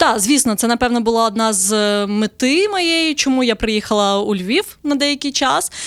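A woman with a plain, everyday voice speaks at a fairly high pitch and moderate pace, with lively intonation and very even loudness, on a very clean recording with a silent background. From southern Ukraine. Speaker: travel blogger. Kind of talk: casual interview.

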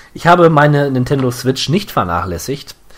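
Noticeable background noise accompanies a man speaking. His pace is fairly quick and his intonation lively. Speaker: video game podcast host. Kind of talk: casual chat. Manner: occasional fumbling over words.

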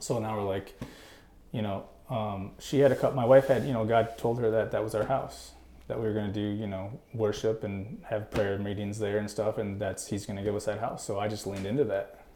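Over background music, a man with an American accent speaks fairly quickly in a fairly low pitch with fairly even intonation. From northern Wisconsin. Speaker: entrepreneur, gutter business owner. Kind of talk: casual interview.

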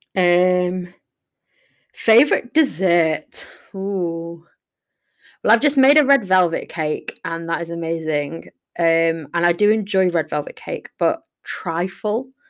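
On a very clean recording with a silent background, a woman speaks in a fairly low pitch with lively intonation. Her pace is very slow, with long, frequent pauses. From northern England, Sheffield. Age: 20s. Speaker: podcaster, university student. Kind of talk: casual solo monologue. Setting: living room at home.

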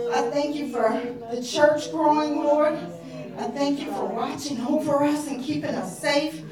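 With noticeable background noise, a woman speaks in a high voice at a moderate pace, her pitch varying in an ordinary way. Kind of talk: fervent prayer, a heartfelt intercession. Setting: prayer call. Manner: repetitive, earnest, rhythmic, with 'Father God' as a steady refrain.

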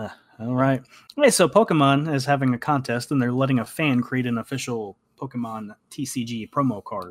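At a fairly quick pace, a man with a plain, everyday voice talks at medium pitch with ordinary pitch variation. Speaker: podcast host. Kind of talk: casual chat.

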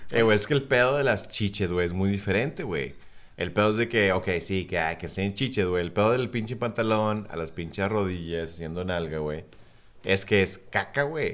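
A man's unremarkable speaking voice, fairly low in pitch with ordinary pitch variation. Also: moderate pace. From South Texas, US-Mexico border. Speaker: podcast co-host. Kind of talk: casual chat.

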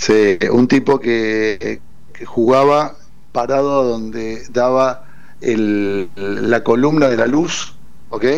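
There is audible room echo as a man speaks. His pace is very slow and his intonation fairly even. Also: medium pitch for a man. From Argentina, Córdoba. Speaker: football fan and former club official. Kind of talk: casual interview. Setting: phone call to radio studio.

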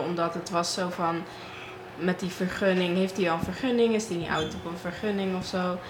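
Against noticeable background noise and audible room echo, a woman speaks at a fairly low pitch and a moderate pace. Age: young (19). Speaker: student guest. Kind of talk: casual discussion.

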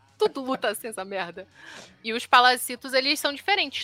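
Animated and talking at a very fast pace, a woman has a bright, sharp tone, ordinary pitch variation, and a dry, close sound with no echo. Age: 20s. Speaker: podcast co-host. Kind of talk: casual chat.

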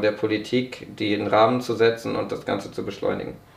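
With monotone, flat intonation, a man of medium pitch speaks at a moderate pace through audible room echo and noticeable background noise. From northern Germany (Braunschweig, Lower Saxony). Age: 20s. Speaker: young politician and sports management graduate. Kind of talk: podcast interview.

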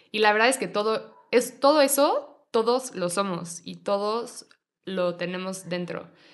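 Speaking with a Mexico City accent, a woman talks at a fairly slow pace. Her pitch is medium, with ordinary pitch variation. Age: 20s. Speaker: yoga teacher. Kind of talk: casual chat.

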